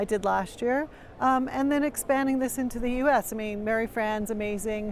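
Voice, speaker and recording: Someone talks in a normal speaking voice with a Canadian accent and ordinary pitch variation. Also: woman. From Canada. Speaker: executive director and podcast host. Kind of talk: interview. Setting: media booth at a conference.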